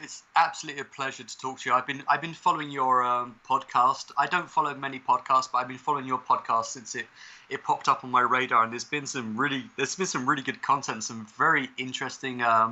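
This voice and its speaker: A man's medium-pitched voice in an English accent, very fast with hardly any pauses, fairly even in intonation, with big swings in loudness. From London, England. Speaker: climbing hold reviewer and video game designer. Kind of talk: podcast interview.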